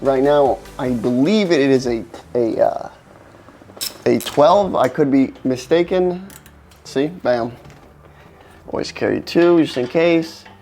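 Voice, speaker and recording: Long, frequent pauses break up a man's very slow speech, delivered in a fairly high pitch with ordinary pitch variation over noticeable background noise. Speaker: car repair how-to presenter. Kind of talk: tutorial. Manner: casual, filler-heavy.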